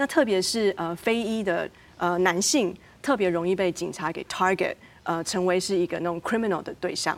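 In an ordinary speaking voice, a woman talks at a medium pitch and moderate pace with ordinary pitch variation, on a very clean recording with a silent background. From Taiwan, moved to the US as a teen. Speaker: academic researcher. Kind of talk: panel discussion.

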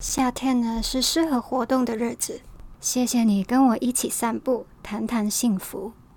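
The speaker has a Hong Kong accent and talks at a fairly slow pace with ordinary pitch variation. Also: woman, high pitch for a woman. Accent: Hong Kong-accented Mandarin. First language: Cantonese (speaking Chinese). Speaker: podcast host. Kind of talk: scripted podcast monologue.

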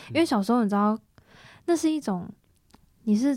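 The recording is very clean, with a silent background. A woman speaks in a somewhat breathy voice with a dark, mellow tone. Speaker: band member, singer. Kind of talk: casual interview chat.

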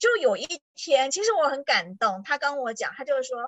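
Her pitch swings very widely as a woman talks. She keeps a moderate pace and a high pitch. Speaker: tourism board PR professional. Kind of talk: casual chat. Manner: animated.

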